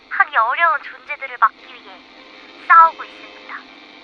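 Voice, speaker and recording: Fairly quick pace against noticeable background noise. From Korea. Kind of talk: dramatic narration intro.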